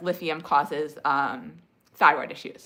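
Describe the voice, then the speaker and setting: With an American accent, a woman talks at a very slow pace in a bright, sharp tone and fairly even intonation, on a very clean recording with a silent background. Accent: slight speech impediment. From New Jersey. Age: 40s. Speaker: livestreamer sharing health recovery experience. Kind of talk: casual livestream chat answering comments. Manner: hesitant, many fillers and restarts.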